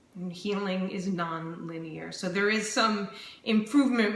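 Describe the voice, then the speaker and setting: A woman's very slow speech with audible room echo and noticeable background noise. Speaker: vlogger sharing chronic illness journey. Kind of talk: personal video diary. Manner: slightly slurred speech; calm, still.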